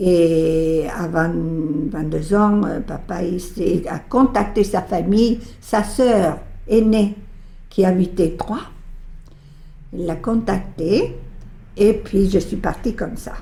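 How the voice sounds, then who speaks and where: At a very slow pace with long, frequent pauses, a woman speaks in a dark, mellow, somewhat breathy tone at a medium pitch with ordinary pitch variation. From Bolivia. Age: 80s+. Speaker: retiree. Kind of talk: interview testimony.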